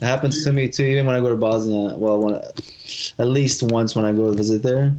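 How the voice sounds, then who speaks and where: A man's medium pitch at a moderate pace, with fairly even intonation and an ordinary speaking voice. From USA, Bosnian immigrant family. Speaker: MMA fighter. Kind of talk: casual interview chat.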